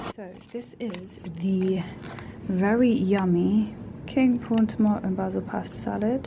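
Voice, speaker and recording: Amid noticeable background noise and audible room echo, a woman at a medium pitch speaks with ordinary pitch variation, big swings in loudness and long, frequent pauses. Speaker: vlogger. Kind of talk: casual vlog monologue. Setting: office. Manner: speaking quietly; fast, chatty.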